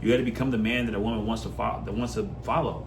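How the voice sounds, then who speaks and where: A man speaks at a very fast pace. Audible room echo and noticeable background noise are present. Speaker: self-improvement coach. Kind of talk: motivational monologue. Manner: passionate.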